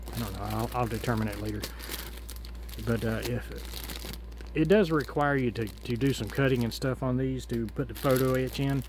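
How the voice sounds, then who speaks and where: Frequent long pauses interrupt speech that otherwise moves at a moderate rate. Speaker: scale model hobbyist. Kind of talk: casual unboxing tutorial. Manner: loud; halting, many fillers.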